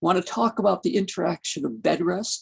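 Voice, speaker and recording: With vocal fry and very wide pitch swings, a woman speaks fairly quickly at a medium pitch in a dry, close sound with no echo. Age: 70s. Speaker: geriatrics physician and lecturer. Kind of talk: lecture. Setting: video call. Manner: conversational.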